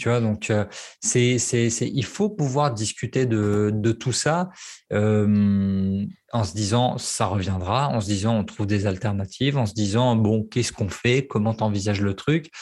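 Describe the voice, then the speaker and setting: An unremarkable speaking voice moves at a fairly slow pace with ordinary pitch variation. The recording is very clean, with a silent background. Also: man, fairly low pitch for a man. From French provinces. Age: 30s. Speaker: copywriter and former love coach. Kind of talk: casual interview.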